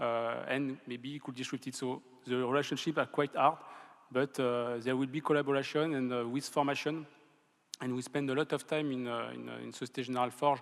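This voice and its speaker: A man at medium pitch with a strong French accent, fairly quick, in a monotone, flat intonation. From France. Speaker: bank innovation executive. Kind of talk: conference panel discussion. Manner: halting, many fillers.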